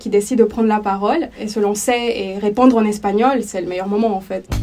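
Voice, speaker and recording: The tone is dark and mellow. Speech moves at a fairly quick pace. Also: woman. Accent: Spanish. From El Salvador. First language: Spanish (speaking French). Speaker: language teacher. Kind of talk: interview testimony.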